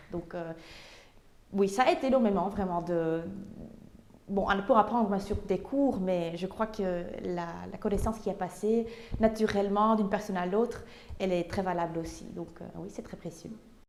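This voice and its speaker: A woman at a medium pitch speaks at a moderate pace with ordinary pitch variation, big swings in loudness and long, frequent pauses. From Flanders, Belgium (Tienen). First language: Dutch (speaking French). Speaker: painter. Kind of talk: interview. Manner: halting, many hesitations.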